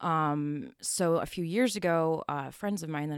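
A woman with a Western New York accent in a very clean recording with a silent background. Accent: Western New York (Inland North) American. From US, Buffalo, New York. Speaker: photographer. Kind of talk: casual interview.

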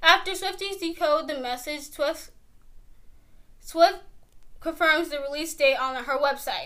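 Raised and projected, a woman's extremely high, bright, sharp voice moves at a fairly slow pace with ordinary pitch variation, big swings in loudness, and long, frequent pauses. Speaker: co-host. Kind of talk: casual chat.

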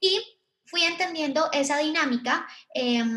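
This is a woman speaking. Room echo is audible. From Colombia. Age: 20s. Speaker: digital marketing agency founder. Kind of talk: live online panel talk. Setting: live virtual event.

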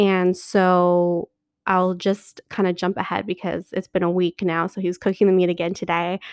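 At a moderate pace, the delivery is monotone and flat, in a very clean recording with a silent background and a dry, close sound with no echo. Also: woman, medium pitch for a woman. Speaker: podcast host. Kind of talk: casual solo podcast monologue. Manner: chatty, many fillers.

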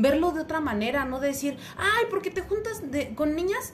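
A woman speaks in a high voice with lively intonation. The room echo is audible. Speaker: podcast co-host. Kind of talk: casual chat.

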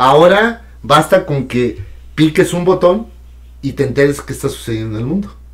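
Lively intonation runs through a somewhat breathy voice. The pace is moderate. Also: man, fairly high pitch for a man. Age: 60s. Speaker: radio and TV broadcaster. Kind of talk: casual chat.

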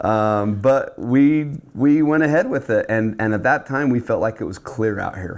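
In a very clean recording with a silent background, a man with an American accent speaks at medium pitch and a fairly slow pace, with ordinary pitch variation. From Utah. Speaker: church bishop. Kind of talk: casual interview. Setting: studio table. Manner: halting, many fillers.

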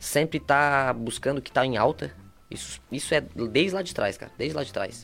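Speaking at a moderate pace with vocal fry, this man has a medium pitch, ordinary pitch variation and big swings in loudness. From southern Brazil, Torres / São João do Sul area. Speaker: entrepreneur and content creator. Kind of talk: casual chat.

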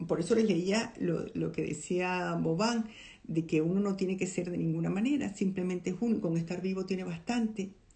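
Against audible room echo, a woman at a medium pitch talks at a moderate pace with vocal fry and ordinary pitch variation. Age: old. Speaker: podcast host, film commentator. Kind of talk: casual monologue, film analysis. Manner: animated.

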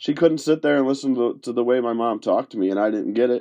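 Speaking with a western New York accent, a man with a dark, mellow tone talks at a fairly quick pace with very wide pitch swings against a quiet background. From Rochester, New York area (western New York). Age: 30s. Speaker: podcast host. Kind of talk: personal monologue. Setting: home recording in a closet. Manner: halting.

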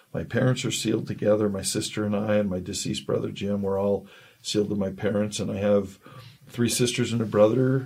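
Fairly even intonation marks this voice, which carries an American accent. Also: man. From Southern California. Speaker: church member sharing conversion story. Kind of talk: testimony.

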